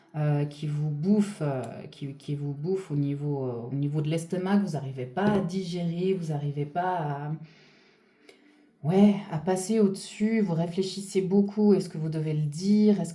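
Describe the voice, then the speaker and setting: A woman speaks at a fairly slow pace with a fairly low pitch and ordinary pitch variation. Audible room echo and noticeable background noise are present. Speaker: spiritual channeler / energy reader. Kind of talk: guided reading. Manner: loud; hesitant, many fillers.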